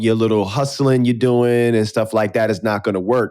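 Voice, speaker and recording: This man talks at a fairly quick pace, his medium-pitched voice carrying fairly even intonation. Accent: New York. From New York City, South Bronx. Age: 40s. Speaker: podcast host. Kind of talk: casual interview chat.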